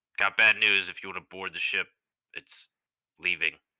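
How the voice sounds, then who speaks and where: A man uses a raspy, put-on character voice. His loudness swings widely. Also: moderate pace. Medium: actual play.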